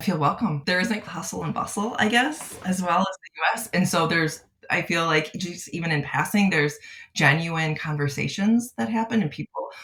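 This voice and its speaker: With a Midwestern accent, a woman speaks at a fairly low pitch with lively intonation. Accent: American Midwest. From US Midwest, outside Chicago. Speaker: clinical psychologist. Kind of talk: podcast interview. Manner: halting, many fillers.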